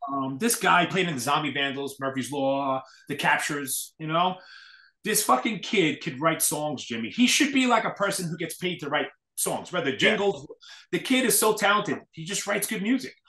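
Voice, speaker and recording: A man with an American accent speaks at a moderate pace in a high pitch, bright and sharp in tone with lively intonation. The background is quiet, though room echo is audible. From New York City. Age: 40s. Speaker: hardcore scene event promoter; podcast guest. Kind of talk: casual chat. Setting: video call. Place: home room. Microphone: webcam.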